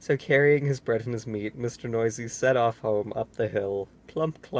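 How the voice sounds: A natural reading voice, its pitch variation ordinary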